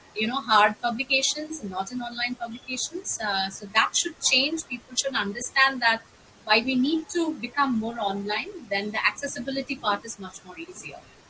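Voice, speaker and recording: A woman with a high pitch talks at a moderate pace with hardly any pauses, her intonation lively and her loudness swinging widely over noticeable background noise. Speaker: archaeologist, discussion group organizer. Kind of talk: academic discussion.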